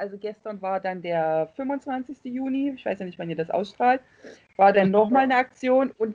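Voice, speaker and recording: This woman's pitch leaps across a very wide range. Her voice sits fairly high, and her pace is moderate. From East Germany. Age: 40s. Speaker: Facebook fan group admin. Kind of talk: casual chat.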